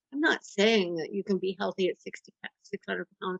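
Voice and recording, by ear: A woman speaks at a moderate pace with vocal fry, her medium pitch moving in ordinary ways, her tone fairly bright and the sound dry and close with no echo.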